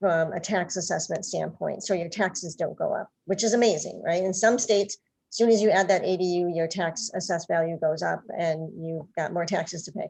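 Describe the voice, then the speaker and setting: This woman talks at a medium pitch. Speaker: housing nonprofit presenter. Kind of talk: panel presentation. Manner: fast.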